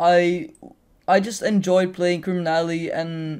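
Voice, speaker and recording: Someone with a Dutch accent talks at a moderate pace. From Netherlands. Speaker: gaming YouTuber. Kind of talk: Q&A video. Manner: halting.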